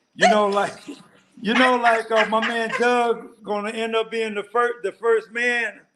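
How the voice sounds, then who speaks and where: A man speaks in a raised, projected voice at an extremely high pitch, with a bright, sharp tone. His pace is fairly slow and his intonation is monotone and flat. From US Midwest, Detroit. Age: 70s. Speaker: retired expat. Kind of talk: interview.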